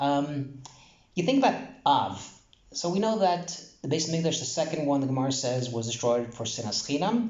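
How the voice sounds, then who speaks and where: An American-accented man with a fairly high pitch, lively intonation and a moderate pace, in a room with audible echo. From New York, Brooklyn. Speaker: Torah teacher. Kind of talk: casual Torah talk. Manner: casual, halting with fillers.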